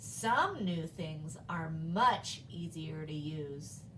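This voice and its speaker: A woman speaks in a put-on character voice with a very deep, low pitch. Her pace is very slow, and background noise is clearly heard. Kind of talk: classroom read-aloud. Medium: read story. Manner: warm, gently teasing.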